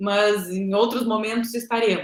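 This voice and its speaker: A woman talks at a very slow pace. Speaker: professor. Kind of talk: lecture. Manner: halting.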